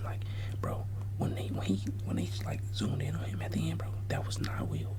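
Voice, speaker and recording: Over noticeable background noise, a man with an American accent speaks at a moderate pace in a fairly low, monotone, flat voice. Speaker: ASMR content creator. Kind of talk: casual talk to camera. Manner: whispered, rambling, casual.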